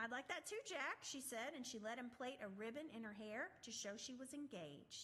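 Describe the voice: Ordinary pitch variation in plain reading aloud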